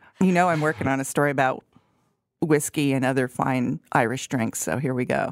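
With music in the background, a woman speaks in a very deep, low pitch, the sound dry and close with no echo. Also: ordinary pitch variation, fairly quick pace. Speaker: food journalist podcast co-host. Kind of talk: casual chat. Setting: studio.

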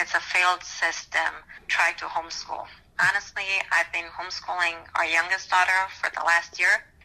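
A woman's fairly low voice at a moderate pace, in monotone, flat intonation. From Romania. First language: Romanian. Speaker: school board candidate. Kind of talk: interview. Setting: recorded conversation.

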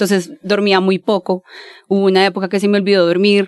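A woman talks at a very fast pace in a medium pitch. The sound is dry and close, with no echo. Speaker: advertising professional. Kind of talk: casual interview. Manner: animated.

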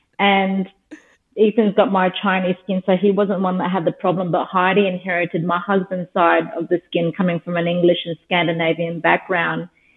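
In an Australian accent, a woman speaks at a moderate pace with a medium pitch and monotone, flat intonation. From Australia, Darwin (Northern Territory). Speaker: skincare business founder. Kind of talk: interview.

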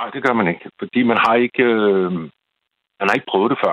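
Here a man talks at a moderate pace with a medium pitch and ordinary pitch variation. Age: 60s. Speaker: caller to late-night radio show. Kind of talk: casual chat. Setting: phone call. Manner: halting.

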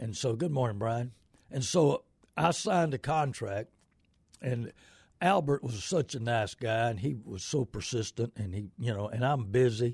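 With an American accent, a man at a medium pitch sounds somewhat breathy, using lively intonation at a moderate pace in a dry, close sound with no echo. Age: 70s. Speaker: radio host and used car dealer. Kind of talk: live call-in radio show. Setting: radio studio. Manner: rambling, halting with many fillers.

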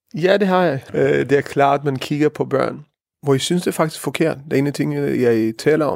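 With ordinary pitch variation and a fairly high pitch, a man delivers his words at a moderate pace. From Israel. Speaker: rabbi. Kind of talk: interview. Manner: halting, many fillers.

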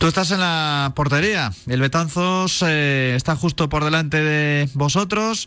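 Bright and sharp in tone, a man speaks with ordinary pitch variation. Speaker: radio host. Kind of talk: casual radio chat with interviews.

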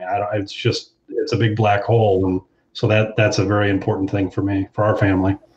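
A very fast, monotone, flat male voice, fairly low in pitch, with an American accent. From Ohio, US Midwest. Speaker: consumer panelist, medical data consultant. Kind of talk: panel discussion.

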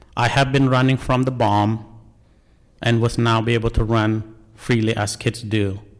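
A man with a Cambodian accent speaks in a flat monotone at a very even loudness. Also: medium pitch for a man, moderate pace. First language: Khmer. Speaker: National Guard soldier, refugee. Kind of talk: personal testimony.

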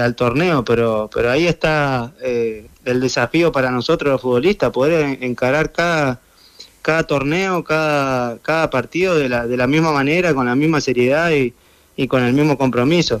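With an Argentine accent, a man speaks at a moderate pace in a medium pitch, with ordinary pitch variation and very even loudness. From Argentina. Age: 30s. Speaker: footballer. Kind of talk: interview.

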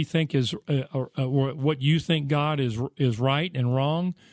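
A man with an American accent speaks at a fairly high pitch with fairly even intonation. The sound is dry and close with no echo, over a quiet background. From United States. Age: 60s. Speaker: radio preacher. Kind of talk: radio sermon. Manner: halting, with fillers.

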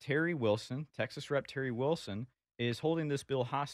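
A man in a normal speaking voice talks at a moderate pace with ordinary pitch variation, the sound dry and close with no echo over a quiet background. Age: 20s. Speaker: political activist. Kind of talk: casual chat.

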